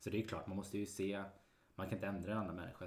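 Audible room echo surrounds a man's very deep, low pitch, which is somewhat breathy with fairly even intonation. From Sweden, Mariestad (Västergötland). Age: 30s. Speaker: real estate agent. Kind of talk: casual chat.

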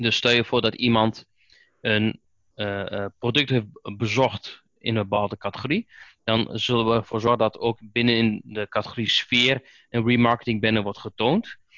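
This man speaks at a moderate pace and a medium pitch, his intonation monotone and flat. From Netherlands, Oldenzaal, Overijssel. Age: 30s. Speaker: Google Ads specialist and trainer. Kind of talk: podcast interview.

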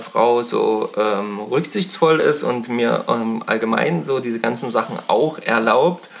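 Using an unremarkable speaking voice, a man speaks at a fairly slow pace and medium pitch with lively intonation. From Thuringia, Germany (Eisenberg). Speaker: fishing podcast host. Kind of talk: casual chat. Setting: friends' living room.

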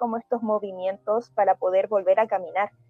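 A woman speaks at a medium pitch. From Chile. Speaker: schoolteacher. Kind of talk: radio panel discussion.

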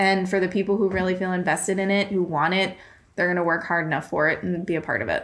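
With a Massachusetts accent, a woman talks at medium pitch and a very fast pace, her intonation monotone and flat and her loudness very even. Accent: Worcester accent, drops r's. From Worcester, Massachusetts. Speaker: heart defect patient advocate. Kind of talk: interview.

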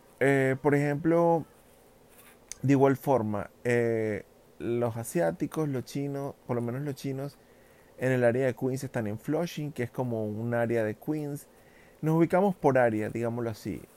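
A man's dark, mellow voice at medium pitch, fairly slow, with ordinary pitch variation. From Venezuela. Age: 30s. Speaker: podcaster and social media creator. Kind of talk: casual solo monologue. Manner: hesitant with frequent fillers.

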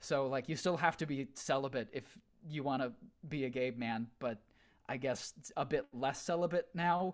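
On a very clean recording with a silent background, a man with a normal speaking voice and fairly high pitch talks at a moderate pace with ordinary pitch variation. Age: 20s. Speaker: theater performer. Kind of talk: casual chat.

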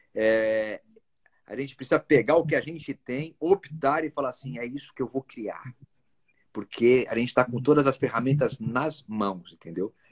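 With a dry, close sound and no echo, a man in a plain, everyday voice talks at a moderate pace, his medium pitch varying in an ordinary way. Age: 40s. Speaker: actor and musician. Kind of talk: casual chat.

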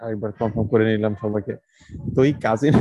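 Here a man is talking. The tone of his voice is dark and mellow. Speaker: podcast co-host. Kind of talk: casual chat.

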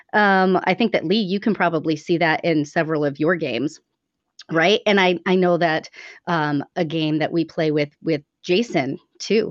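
A woman with a normal speaking voice talks at a moderate pace in a fairly low pitch, with very even loudness, ordinary pitch variation, and a dry, close sound with no echo against a quiet background. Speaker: server founder. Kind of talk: casual chat. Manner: chatty, laughs often.

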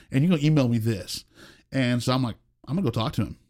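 A man with an American accent talks at a very fast pace. His pitch is medium, with ordinary pitch variation. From Oklahoma (rural, near Marlow). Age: 40s. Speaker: pastor. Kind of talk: casual chat. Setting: studio.

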